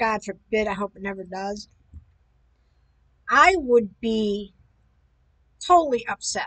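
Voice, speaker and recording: Projecting in a raised voice, a woman speaks fairly slowly with very wide pitch swings. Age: 60s. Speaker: video commentator. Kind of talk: casual commentary monologue. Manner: rambling, hesitant with fillers.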